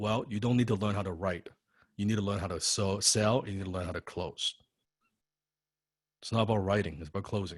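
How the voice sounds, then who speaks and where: A somewhat breathy man with a fairly low pitch, a very fast pace, and long, frequent pauses. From Chinese heritage. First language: not English. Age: 30s. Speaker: copywriting coach. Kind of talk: online class lecture. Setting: online video class. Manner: animated.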